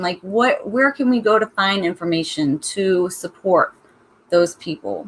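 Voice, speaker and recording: A woman talks at a fairly slow pace in a Southern US accent. Her pitch moves in an ordinary way. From US South. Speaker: book club host. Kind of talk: casual chat. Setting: live stream.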